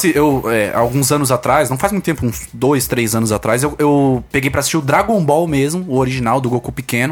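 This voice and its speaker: A man talks in a normal speaking voice at a medium pitch with ordinary pitch variation. He keeps a fairly quick pace with hardly any pauses and very even loudness. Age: 20s. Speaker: online entrepreneur with students. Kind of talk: casual chat.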